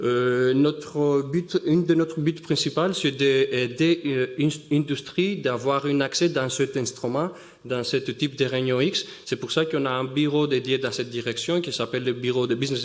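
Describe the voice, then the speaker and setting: At a moderate pace, a man with a non-native accent speaks at a medium pitch with ordinary pitch variation. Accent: noticeable foreign accent in French. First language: not French (speaking French). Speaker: synchrotron business development scientist. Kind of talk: conference talk. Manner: halting, many hesitations.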